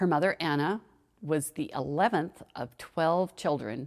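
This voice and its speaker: A woman speaks at a fairly slow pace in a very deep, low pitch with ordinary pitch variation. The recording is very clean, with a silent background. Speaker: family storyteller. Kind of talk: personal memoir narration.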